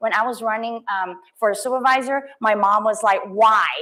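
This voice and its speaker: A woman speaks with a Cantonese accent at a fairly high pitch. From Hong Kong. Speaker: politician. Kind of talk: campaign speech. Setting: stage with audience. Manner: halting.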